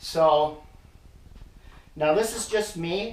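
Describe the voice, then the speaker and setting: Fairly high-pitched man amid audible room echo. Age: 60s. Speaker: hunting gear reviewer. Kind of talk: product demonstration tutorial. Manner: casual, with frequent hesitations.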